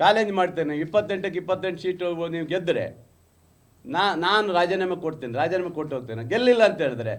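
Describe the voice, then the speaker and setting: A man speaks at a high pitch, with audible echo from the room. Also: ordinary pitch variation. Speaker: politician, party spokesperson. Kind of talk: press conference. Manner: combative, emphatic.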